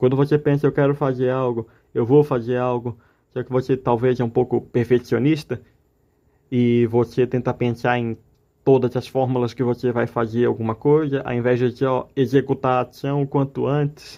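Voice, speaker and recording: At a moderate pace, a man speaks in a monotone, flat intonation with a medium pitch. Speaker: amateur artist vlogger. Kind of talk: personal vent monologue.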